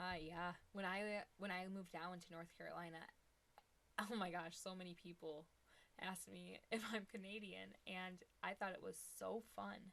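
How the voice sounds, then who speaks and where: Speaking in an Ohio accent, a woman keeps a medium pitch and a moderate pace, her intonation monotone and flat. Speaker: product reviewer. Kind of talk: casual chat; product demo live stream. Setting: live stream. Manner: casual and chatty.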